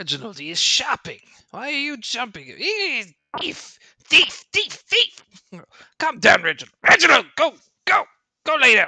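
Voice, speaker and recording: In a put-on character voice, the speaker uses a fairly high pitch with very wide swings, going at a moderate pace with long, frequent pauses. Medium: actual play. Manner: curt, grumbling, easily flustered.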